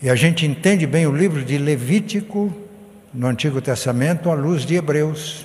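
At a moderate pace and very even loudness, a man with a fairly high pitch speaks over noticeable background noise and audible room echo. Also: ordinary pitch variation. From rural Brazil. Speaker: pastor. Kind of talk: sermon.

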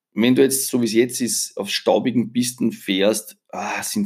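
In an Austrian accent, a man talks at a very slow pace with medium pitch. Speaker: motorcycle journalist and podcast host. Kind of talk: solo podcast monologue. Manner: casual, conversational.

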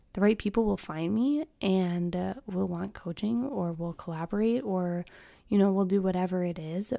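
A dark, mellow tone with ordinary pitch variation at a moderate pace, on a very clean recording with a silent background. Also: woman, medium pitch for a woman. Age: 20s. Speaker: podcast host and fitness coach. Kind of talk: unscripted solo monologue. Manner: casual, with frequent laughs.

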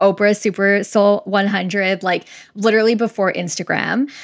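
With a Canadian accent and an unremarkable speaking voice, the speaker keeps a fairly even intonation at a moderate pace in a very clean recording with a silent background. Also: woman. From Winnipeg, Canada. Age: 30s. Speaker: podcast host and career coach. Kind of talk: podcast interview.

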